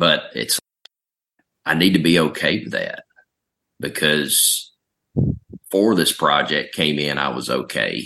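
Long, frequent pauses break up a man's speech, delivered at a very slow pace. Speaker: meeting participant. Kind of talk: group discussion.

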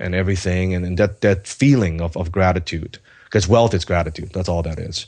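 A man's very deep, low voice in a Cantonese accent, with fairly even intonation against a quiet background. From Hong Kong, then Vancouver from age 14. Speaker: entrepreneur and author. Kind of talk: interview.

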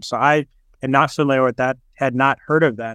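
In a plain, everyday voice, a man speaks at a moderate pace with fairly even intonation, the sound dry and close with no echo and the background quiet. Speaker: podcast host. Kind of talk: interview. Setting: video call.

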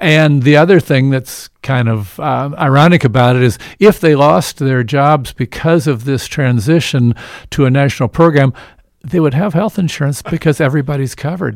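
In a very clean recording with a silent background, a man with an American accent uses an unremarkable speaking voice at a fairly high pitch. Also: ordinary pitch variation, moderate pace. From Evansville, Indiana. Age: 60s. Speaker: physician and health care advocate. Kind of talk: radio interview. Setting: studio.

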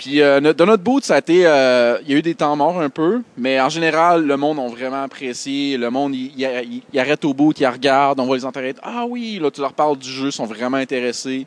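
A man at fairly high pitch with ordinary pitch variation, moderate pace, hardly any pauses, and a dry, close sound with no echo. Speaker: indie game developer. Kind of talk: casual chat.

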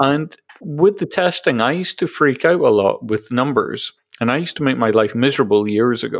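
A man at a fairly high pitch and fairly quick pace, with lively intonation, in a very clean recording with a silent background. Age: 40s. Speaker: podcast host. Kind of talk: interview. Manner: hesitant, many fillers.

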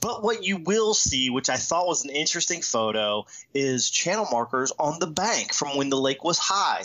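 Noticeable background noise sits behind a man with a fairly high pitch who speaks at a moderate pace, his pitch swinging very widely. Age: 40s. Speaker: fishing podcast host. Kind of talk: casual chat.

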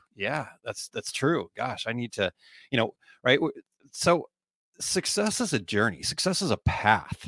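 Man with lively intonation and a bright, sharp tone at a moderate pace, dry, close sound with no echo, very clean recording with a silent background. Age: 40s. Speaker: small business coach and podcast host. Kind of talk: casual solo podcast talk with live comments. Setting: live video stream. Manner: halting, many repeated words and fillers.

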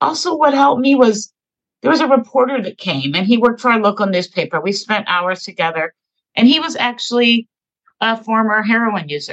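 At a moderate pace, a woman talks with lively intonation and fairly high pitch. The sound is dry and close, no echo. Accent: American. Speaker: advocate.

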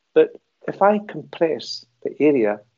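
A man with a Glaswegian accent. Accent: Glaswegian Scottish. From Scotland, Glasgow. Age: 60s. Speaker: movement and stress coach. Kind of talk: interview. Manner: halting.

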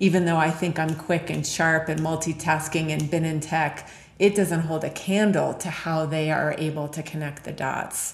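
A woman with a very deep, low voice talks at a fairly slow pace in a flat monotone, with noticeable background noise and audible room echo. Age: 40s. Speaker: leadership consultant. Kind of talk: interview.

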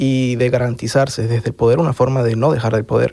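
With a Venezuelan accent, a man talks fairly quickly at a medium pitch, keeping his intonation fairly even. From Venezuela (Caracas). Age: 30s. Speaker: asylum seeker, lawyer. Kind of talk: testimony.

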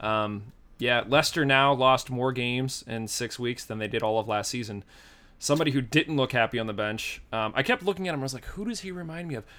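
In a very clean recording with a silent background, a man with an American accent speaks fairly quickly at medium pitch, his tone bright and sharp and his intonation lively. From Pittsburgh, Pennsylvania. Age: 30s. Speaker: podcast host. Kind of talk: casual chat.

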